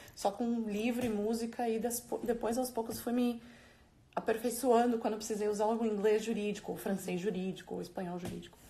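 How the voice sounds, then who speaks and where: A woman's fairly high, somewhat breathy voice with a dark, mellow tone, fairly even intonation and a fairly quick pace. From Brazil, São Paulo. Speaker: lawyer. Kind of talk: interview. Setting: Instagram live video.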